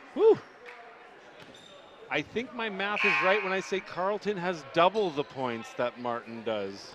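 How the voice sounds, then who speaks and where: A man with a high pitch, very wide pitch swings, long and frequent pauses, and noticeable background noise. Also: fairly slow pace. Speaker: basketball commentator. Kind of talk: live commentary. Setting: broadcast booth in gym. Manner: too quiet.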